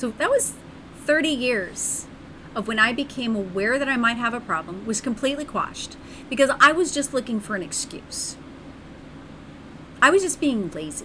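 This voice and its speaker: In an animated tone, a woman with a high pitch speaks at a moderate pace, broken by long, frequent pauses. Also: lively intonation. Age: 40s. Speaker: streamer. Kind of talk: casual chat.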